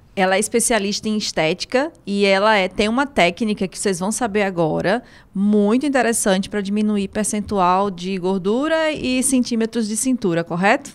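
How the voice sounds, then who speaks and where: Speaking with a northeastern Brazilian accent, a woman uses a medium pitch. She leaves hardly any pauses. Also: ordinary pitch variation, moderate pace. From Fortaleza, Ceará, Brazil. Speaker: podcast host. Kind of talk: interview.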